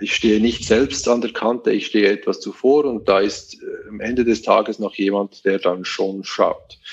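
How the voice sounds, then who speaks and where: A man with a Swiss accent talks at a moderate pace over noticeable background noise. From Switzerland. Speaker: web company manager. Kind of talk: interview.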